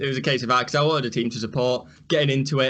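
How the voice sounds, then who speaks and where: A man's medium-pitched voice in a Yorkshire accent, bright and sharp in tone, at a very fast pace with fairly even intonation. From northern England, Rotherham, Yorkshire. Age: 20s. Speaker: sports reaction youtuber. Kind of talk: casual chat.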